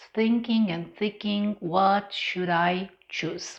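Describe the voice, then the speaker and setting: A woman with a Romanian accent speaks at a medium pitch. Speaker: English teacher. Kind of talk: personal vlog monologue.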